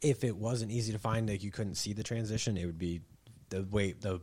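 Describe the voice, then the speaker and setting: A man with a fairly low, somewhat breathy voice talks at a fairly quick pace, with ordinary pitch variation and big swings in loudness. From Michigan. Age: 20s. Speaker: angler, kayak fisherman. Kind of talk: casual chat. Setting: garage.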